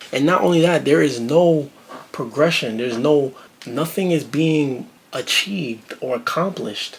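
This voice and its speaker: A man with a New York accent, fairly high in pitch with ordinary variation, at a moderate pace over noticeable background noise. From Brooklyn, New York. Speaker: reaction video creator. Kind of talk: video reaction commentary. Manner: animated.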